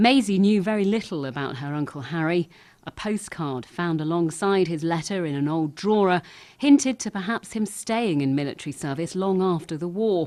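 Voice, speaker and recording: A woman's dark, mellow, fairly low voice with lively intonation at a moderate pace, against a quiet background. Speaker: TV news reporter. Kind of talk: TV news report narration.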